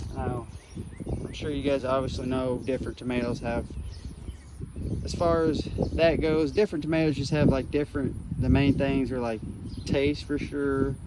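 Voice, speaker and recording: A man mumbling at a moderate pace, fairly high in pitch with ordinary variation, long and frequent pauses, and noticeable background noise. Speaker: gardening vlogger. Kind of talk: garden tour tutorial. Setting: outdoors in garden. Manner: casual, filler-heavy.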